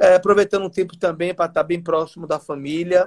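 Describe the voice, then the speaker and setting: High in pitch, a man speaks in a monotone, flat intonation. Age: 40s. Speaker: state legislator. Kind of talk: interview.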